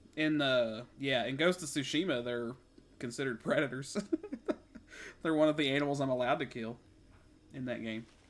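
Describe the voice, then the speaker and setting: Talking at a fairly quick pace with long, frequent pauses, a man with a Kentucky accent uses a medium pitch and ordinary pitch variation. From US South, Kentucky. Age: 30s. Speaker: game streamer. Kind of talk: casual chat. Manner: halting.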